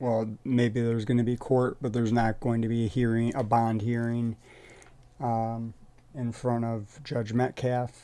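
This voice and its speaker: A man's medium-pitched voice, monotone and flat in intonation. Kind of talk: casual commentary. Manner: halting.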